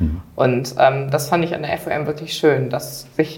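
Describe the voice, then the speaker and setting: This woman speaks at a moderate pace. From Germany, Düsseldorf area. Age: young. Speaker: trainee and dual student. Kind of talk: interview.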